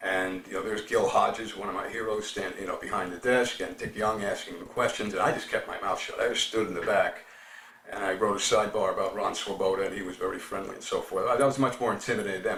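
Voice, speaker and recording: A man in a New York accent at a very fast pace, amid noticeable background noise and audible room echo. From New York City, the Bronx. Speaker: baseball writer. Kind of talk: interview.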